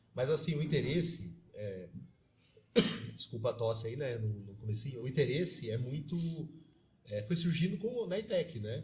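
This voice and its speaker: The speaker's pitch swings very widely at a moderate pace, somewhat breathy, with long, frequent pauses. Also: man, fairly high pitch for a man. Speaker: teacher and city councillor. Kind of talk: podcast interview.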